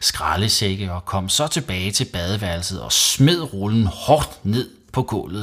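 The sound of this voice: Here someone reads in an unforced voice.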